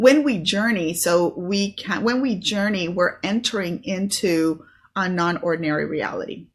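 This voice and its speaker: A somewhat breathy woman at a medium pitch. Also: ordinary pitch variation, moderate pace. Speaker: spiritual teacher and online business host. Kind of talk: solo video talk on spirituality. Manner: casual with many fillers.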